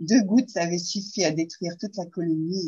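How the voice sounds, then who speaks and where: Her voice somewhat breathy, a woman speaks at a fairly quick pace with a medium pitch and fairly even intonation. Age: 60s. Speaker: reflexologist and aromatherapy student. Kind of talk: testimony interview.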